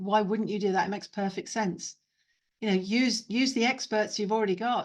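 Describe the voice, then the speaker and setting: At a fairly quick pace, a woman talks in an ordinary speaking voice, fairly high in pitch and fairly even in intonation. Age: 50s. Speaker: neurodiversity trainer and consultant. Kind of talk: webinar talk with Q&A. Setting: video call.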